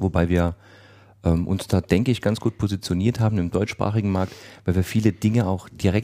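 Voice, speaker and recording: A man's very deep, low voice carries a dark, mellow tone in a very clean recording with a silent background. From Saarland, Germany. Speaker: IT company owner. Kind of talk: casual chat. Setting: studio.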